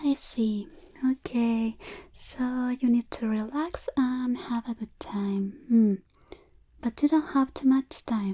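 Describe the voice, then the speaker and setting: Soft-spoken and high-pitched, a woman speaks very slowly with long, frequent pauses and ordinary pitch variation, in a dry, close sound with no echo. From Chile. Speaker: ASMR artist. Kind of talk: ASMR makeup roleplay.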